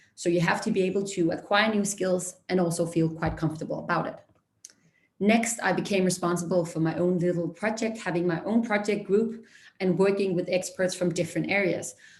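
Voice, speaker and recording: A woman talks at a fairly quick pace in a medium pitch. Her voice is somewhat breathy, with fairly even intonation. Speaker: junior consultant. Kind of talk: career talk presentation. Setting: online career fair. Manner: fast.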